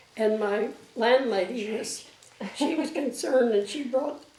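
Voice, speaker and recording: Fairly high-pitched with ordinary pitch variation, a woman talks at a fairly slow pace amid noticeable background noise and audible room echo. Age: 80s+. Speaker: elderly interviewee recalling life story. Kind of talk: oral history interview. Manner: halting, many fillers.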